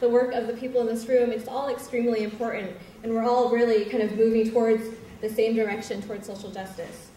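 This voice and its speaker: A woman talks at a very fast pace in a high pitch with monotone, flat intonation. Noticeable background noise and audible room echo are present. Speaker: nonprofit co-director, fundraising activist. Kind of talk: speech.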